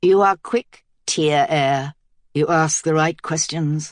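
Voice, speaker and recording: At a fairly slow pace, a man talks in a put-on character voice pitched fairly high. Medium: read story. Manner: silky, calculating.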